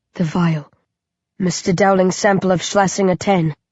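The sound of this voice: A woman's put-on character voice, croaky and raspy, medium in pitch, at a moderate pace with monotone, flat intonation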